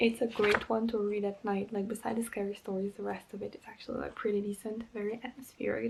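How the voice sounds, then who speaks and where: A soft-spoken woman talks very fast at a medium pitch, her intonation monotone and flat. Noticeable background noise runs underneath. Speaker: book vlogger. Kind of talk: casual talk to camera.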